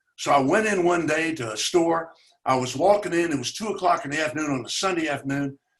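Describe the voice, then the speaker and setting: Talking at a very fast pace, a man with a Tennessee accent has a fairly high pitch and ordinary pitch variation. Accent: Southern US (Tennessee). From US South, Chattanooga, Tennessee. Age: 80s+. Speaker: community organizer, racial equality advocate. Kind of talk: conversational webinar talk. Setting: webinar.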